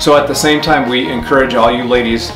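A man speaking at a fairly quick pace over clear background music. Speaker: channel host. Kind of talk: casual vlog chat. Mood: warm, earnest. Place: garage.

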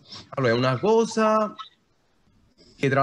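Lively intonation marks this man's speech as he goes at a fairly quick pace. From Naples, Italy; Italy. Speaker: digital artist; talk host or guest commenting on art. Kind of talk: informal panel discussion. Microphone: video call.

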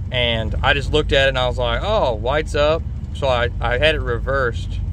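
Noticeable background noise sits under a dry sound with no echo. The pace is fairly slow. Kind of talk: casual vlog chat. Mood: relaxed, self-deprecating. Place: car. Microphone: phone near.

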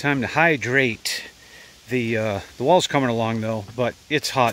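A man at a moderate pace, dry sound with no echo. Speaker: hobby tractor owner. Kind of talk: casual vlog chat. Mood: relaxed, a bit hot. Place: farm machine. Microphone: phone near.

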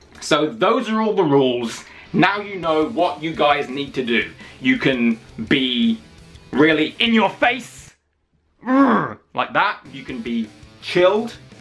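Faint music plays in the background as a man speaks at a very slow pace. He leaves long, frequent pauses. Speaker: wrestling channel host. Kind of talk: casual talk to camera. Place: home room. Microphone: phone near.

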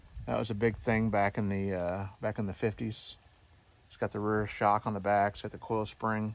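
A man talks at a moderate pace. The sound is dry with no echo, with light background noise. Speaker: tractor owner. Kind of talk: casual walkaround commentary. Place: open country. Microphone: phone near.

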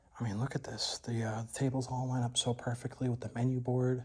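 A man speaks in a somewhat breathy voice at a moderate pace against a quiet background. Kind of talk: casual vlog chat. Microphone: phone near.

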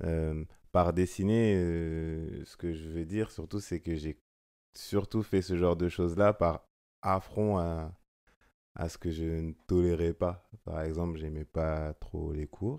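A man's very deep, low voice, dark and mellow, with fairly even intonation at a very slow pace against a quiet background. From France, Seine-et-Marne; France. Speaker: photographer; guest. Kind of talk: casual chat. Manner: hesitant, many fillers. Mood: calm, reflective. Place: home room. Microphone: studio mic.

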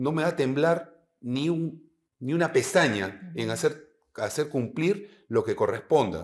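Lively intonation marks this man's fairly high pitch. He speaks at a fairly slow pace with vocal fry. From Peru. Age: 50s. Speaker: retired air force general. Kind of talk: interview. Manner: halting. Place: studio.

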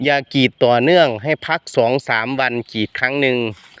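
Against a quiet background, a man speaks at a medium pitch with ordinary pitch variation in a dry, close sound with no echo. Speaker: rubber farmer and vlogger. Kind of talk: casual vlog tutorial. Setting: outdoors.

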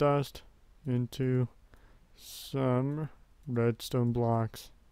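A man speaks quietly in a flat, monotone intonation. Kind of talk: casual gameplay commentary. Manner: quiet, subdued.

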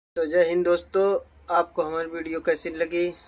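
A man's monotone voice with flat intonation. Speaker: vlogger. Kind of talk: casual vlog outro. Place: home room. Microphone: phone near.

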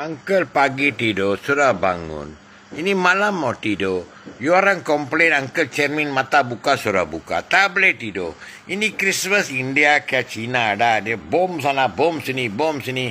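A man talks at a fairly slow pace in a fairly high voice with very wide pitch swings. Light background noise can be heard. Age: old. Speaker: social media user. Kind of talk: rant. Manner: animated. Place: home room. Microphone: phone near.

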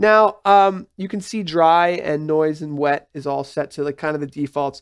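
With a very clean recording and silent background, a man speaks in an unremarkable speaking voice at a fairly high pitch, with ordinary pitch variation and a dry, close sound with no echo. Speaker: tech tutorial presenter. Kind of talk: tutorial. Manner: casual, conversational.

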